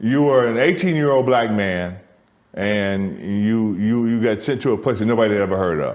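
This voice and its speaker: Audible room echo surrounds a man speaking at medium pitch and a moderate pace. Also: ordinary pitch variation. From US Midwest, Michigan. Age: 60s. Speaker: theatre co-founder. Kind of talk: conversational interview. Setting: soundstage. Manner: repetitive, stammering restarts.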